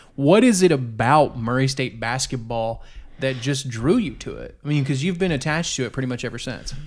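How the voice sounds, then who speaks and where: A man's normal speaking voice, medium in pitch, with ordinary pitch variation. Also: fairly quick pace. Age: 30s. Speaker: podcast host. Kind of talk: casual chat. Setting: kitchen table.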